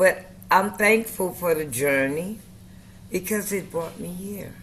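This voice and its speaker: Speaking very slowly at a medium pitch with ordinary pitch variation, a woman is heard in a room with audible echo. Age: 70s. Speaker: community member sharing faith journey. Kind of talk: casual group chat. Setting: video call.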